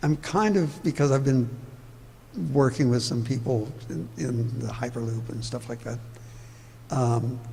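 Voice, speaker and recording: Heard with audible room echo, a man speaks at a fairly slow pace and medium pitch, with ordinary pitch variation. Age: 80s+. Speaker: urban planning speaker. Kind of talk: public talk Q&A.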